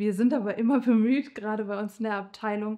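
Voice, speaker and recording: The woman's dark, mellow voice has fairly even intonation over a quiet background. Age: 30s. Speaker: nurse. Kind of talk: interview. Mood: warm, friendly. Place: hall.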